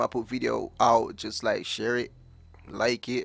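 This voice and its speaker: This is a man speaking. The sound is dry with no echo. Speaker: gaming YouTuber. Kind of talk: live gameplay commentary. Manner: animated, excitable. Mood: relaxed, joking. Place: home room. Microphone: headset.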